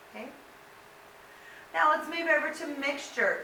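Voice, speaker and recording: A woman speaks in a raised, projected voice at a fairly slow pace, with audible room echo and noticeable background noise. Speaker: high school science teacher. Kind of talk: lecture.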